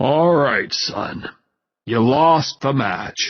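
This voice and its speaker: This man uses a put-on character voice. His pitch sits in the medium range. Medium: read story. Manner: formal, stiff.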